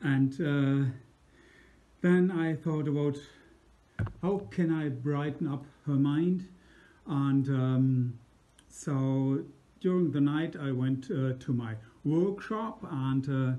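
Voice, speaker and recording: A man with a German accent speaks very slowly at a fairly high pitch, with a dark, mellow tone. He leaves long, frequent pauses, and his pitch varies in an ordinary way. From Germany. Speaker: musician. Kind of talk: personal anecdote. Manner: halting.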